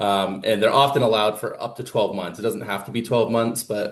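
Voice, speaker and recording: The voice belongs to a man. He keeps his intonation fairly level. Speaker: grants administration trainer. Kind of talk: training presentation. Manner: fast; many filler words (um, uh).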